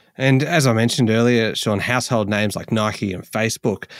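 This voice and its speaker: A man with a fairly low voice and an Australian accent is heard in a very clean recording with a silent background and a dry, close sound with no echo. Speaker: podcast host. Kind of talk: casual chat, podcast intro and promo. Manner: conversational, halting with fillers, friendly.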